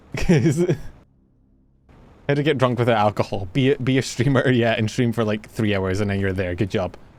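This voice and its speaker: With a Scottish accent, a man speaks at a moderate pace and medium pitch, using ordinary pitch variation and long, frequent pauses. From Scotland. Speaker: vtuber streamer. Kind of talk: casual gaming livestream chat. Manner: animated.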